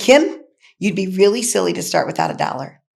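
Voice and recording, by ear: A put-on character voice, raspy and at a middle pitch. The delivery runs at a fairly quick pace.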